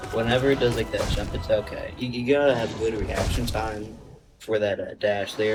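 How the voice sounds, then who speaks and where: A man talks fairly quickly while music runs underneath. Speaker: gaming youtuber. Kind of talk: gameplay commentary. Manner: casual, halting.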